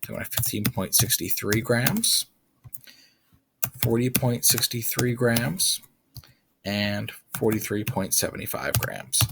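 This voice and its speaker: His delivery is very slow. Long pauses come often between his words. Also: medium pitch for a man, ordinary pitch variation. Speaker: chemistry teacher. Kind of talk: tutorial. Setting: screen recording.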